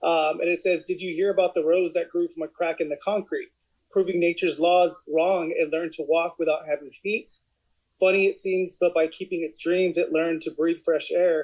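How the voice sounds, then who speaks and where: Monotone and flat in intonation, a man talks at a high pitch and a fairly quick pace. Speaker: audience participant. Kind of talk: poetry reading.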